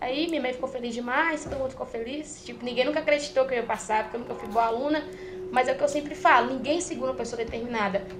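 A woman's high voice at a very fast pace, over noticeable background noise. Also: ordinary pitch variation. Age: young (18). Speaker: trader. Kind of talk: casual chat.

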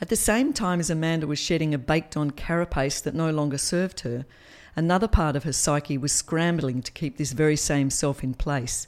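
A woman with an Australian accent talks at a fairly quick pace in a very deep, low voice, recorded very cleanly against a silent background. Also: ordinary pitch variation. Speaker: podcast storyteller. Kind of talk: dramatic third-person narration, reading a written memoir. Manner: expressive, storytelling cadence with wry humour.

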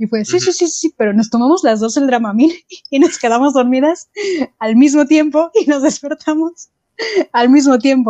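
With a Mexican accent, a woman speaks at a high pitch and moderate pace, her dark, mellow tone showing ordinary pitch variation and long, frequent pauses, in a dry, close sound with no echo. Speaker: podcast co-host. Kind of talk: casual chat.

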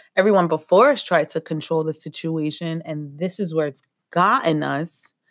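Recorded very cleanly against a silent background, a woman speaks at a moderate pace. She has a plain, everyday voice with ordinary pitch variation. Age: 30s. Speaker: spiritual healing podcaster. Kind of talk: motivational monologue.

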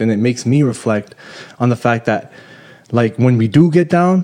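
Medium-pitched male speech in a plain, everyday voice, moderately paced. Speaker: podcast host. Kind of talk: casual chat.

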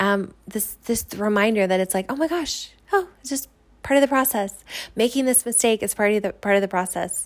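This woman's voice sits fairly high in pitch, moving at a moderate pace with ordinary pitch variation. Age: 30s. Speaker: podcast host. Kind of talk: casual solo podcast monologue. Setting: home, living room couch. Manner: hesitant, many fillers.

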